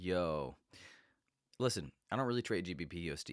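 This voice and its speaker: At a moderate pace, a man with a very deep, low pitch speaks with lively intonation, the sound dry and close with no echo in a very clean recording with a silent background. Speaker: forex trader. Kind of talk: casual talk to camera, forex chart analysis. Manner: casual, conversational.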